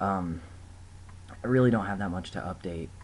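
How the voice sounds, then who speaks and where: Audible room echo surrounds a man speaking at a moderate pace. His pitch is very deep and low, with ordinary variation, and his voice is somewhat breathy. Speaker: vlogger. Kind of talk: casual video diary. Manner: hesitant, many fillers.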